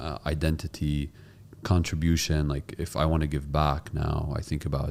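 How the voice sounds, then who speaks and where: With noticeable background noise behind him, a man speaks in a very deep, low voice and a monotone, flat intonation. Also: moderate pace. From Palestinian family, raised in UAE. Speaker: podcast host. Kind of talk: podcast interview.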